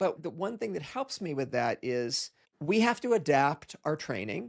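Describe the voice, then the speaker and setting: A man's fairly high voice swings very widely in pitch at a moderate pace. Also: very clean recording, silent background. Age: 60s. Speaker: podcast host and jiu-jitsu practitioner. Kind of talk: casual interview chat.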